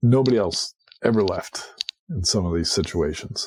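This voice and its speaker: The man's voice is somewhat breathy as he talks at a moderate pace. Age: 60s. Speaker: cybersecurity industry analyst. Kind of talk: casual interview chat.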